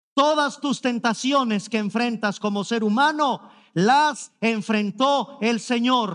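Against a quiet background, a man speaks at an extremely high pitch in an animated, dramatic tone. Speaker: preacher. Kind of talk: sermon. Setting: church service streamed online. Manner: emphatic, pleading, repeating key words for effect; animated, mimicking objections with a dramatic sigh. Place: stage. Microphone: headset.

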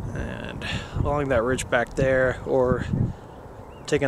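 A man speaks with monotone, flat intonation. The sound is dry with no echo, but noticeable background noise is present. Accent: American. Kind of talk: casual talk to camera. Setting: outdoors. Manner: mumbling. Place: open country. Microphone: phone near.

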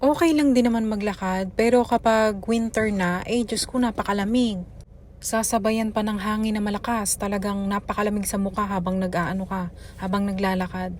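At a moderate pace, a woman with a somewhat breathy voice talks at a medium pitch, her intonation fairly even. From Philippines, Taguig City. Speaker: vlogger and mother. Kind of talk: vlog narration.

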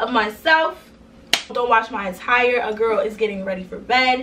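A woman speaks with ordinary pitch variation. Noticeable background noise runs underneath. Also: moderate pace. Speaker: small business owner vlogger. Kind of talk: casual vlog chat. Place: home room.

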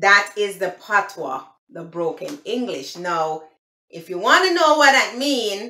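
In a Jamaican accent, a woman speaks at a very slow pace with very wide pitch swings and big swings in loudness, over a quiet background with audible room echo. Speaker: language explainer. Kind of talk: casual talk to camera. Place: home room. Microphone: phone near.

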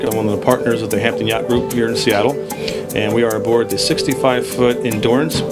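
Loud music plays in the background as a man speaks at a very fast pace. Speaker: yacht sales partner. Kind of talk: interview answer. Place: boat. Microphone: handheld.

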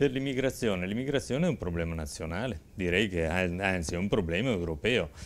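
Hardly pausing, a man with a very deep, low pitch speaks with lively intonation. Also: moderate pace. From Verona, northern Italy; moved to Saronno at 20; northern Italy. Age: 60s. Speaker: mayoral candidate; candidate. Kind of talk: political talk show interview. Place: studio. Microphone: lapel.

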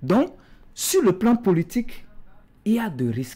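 In a dark, mellow tone, a man speaks at a very slow pace. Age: young. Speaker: politician. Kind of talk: political talk show debate. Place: studio.

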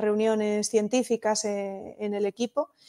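The woman's tone is dark and mellow. Her recording is very clean, with a silent background. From Asturias, western (Allande). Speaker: astrophysicist and astrotourism entrepreneur. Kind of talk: interview conversation. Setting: live video podcast.

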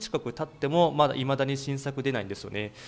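He speaks with a fairly high pitch for a man. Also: very clean recording, silent background. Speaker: YouTube music channel host. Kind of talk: informal video commentary. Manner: many filler words.

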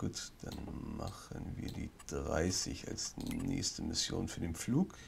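With vocal fry in his very deep, low voice, a man speaks at a very slow pace while his pitch swings very widely. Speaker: gaming YouTuber. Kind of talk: let's play commentary. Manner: quiet; hesitant.

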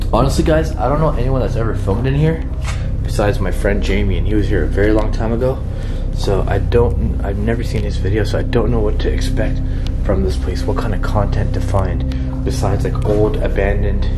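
The talking moves fairly quickly. Behind it, music is playing. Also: man. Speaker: urban explorer vlogger. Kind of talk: casual vlog chat. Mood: hushed, curious. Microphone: phone near.

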